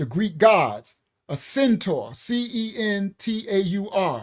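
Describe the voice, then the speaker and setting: A man with a New York accent speaks in a high pitch with lively intonation. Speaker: bible study teacher. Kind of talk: bible study lecture. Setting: live stream.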